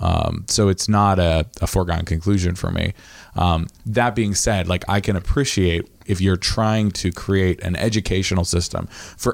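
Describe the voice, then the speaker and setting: A normal speaking voice at a moderate pace, very even in loudness. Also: man. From Maine, US (Midcoast). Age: 30s. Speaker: podcast host. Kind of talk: casual chat.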